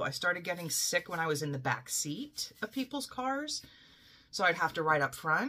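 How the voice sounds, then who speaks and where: A woman with an American accent speaks at a fairly low pitch, her tone bright and sharp. Her pitch swings very widely. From Philadelphia, US. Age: 40s. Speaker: cross-stitch YouTuber. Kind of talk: casual vlog monologue. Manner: casual with frequent fillers and laughs. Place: home room. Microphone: webcam.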